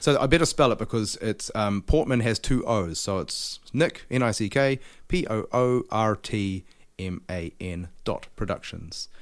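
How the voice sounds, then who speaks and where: Over a silent background on a very clean recording, a man with a New Zealand accent and a medium pitch talks at a fairly slow pace with lively intonation. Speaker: podcast host. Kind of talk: casual interview.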